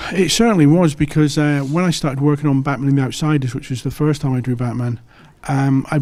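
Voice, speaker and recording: A man with an English accent talks at a very fast pace, his pitch fairly high and his tone dark and mellow. His intonation is fairly even, and the recording is very clean with a silent background. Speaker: comic book artist. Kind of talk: interview. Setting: comic convention.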